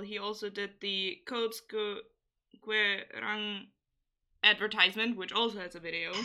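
A woman with a plain, everyday voice keeps a medium pitch and fairly even intonation while talking at a moderate pace. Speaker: podcast host. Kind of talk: casual chat.

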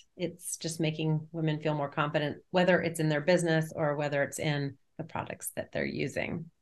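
A woman's very deep, low voice with an American accent, monotone and flat, at a fairly quick pace with hardly any pauses. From New Jersey. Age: 50s. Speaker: network marketing leader. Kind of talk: casual interview.

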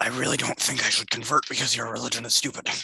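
Raspy and delivered at a very fast pace, this put-on character voice comes from a man speaking at a medium pitch. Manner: defiant, scornful.

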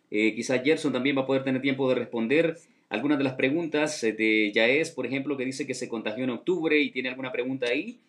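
This man's speech races along very fast. Pauses barely appear at all. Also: medium pitch for a man. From Honduras. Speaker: radio host. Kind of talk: live radio show hosting. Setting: radio studio. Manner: animated.

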